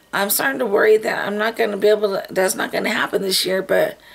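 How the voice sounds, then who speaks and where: Background noise is noticeable. The voice belongs to a woman. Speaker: beauty vlogger. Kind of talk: casual vlog talk. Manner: halting, many fillers.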